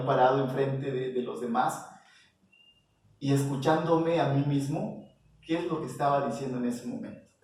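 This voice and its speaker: There's audible room echo as a man with a fairly high pitch talks at a moderate pace with fairly even intonation. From Mexico, Oaxaca (Isthmus). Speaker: visual artist. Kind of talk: interview. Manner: hesitant, many fillers.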